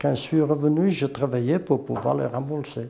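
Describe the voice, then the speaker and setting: Ordinary pitch variation shapes the speech of a man whose voice sits fairly high. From Portugal, Tortozendo. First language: Portuguese (speaking French). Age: 60s. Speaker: former slate quarry worker. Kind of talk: testimony.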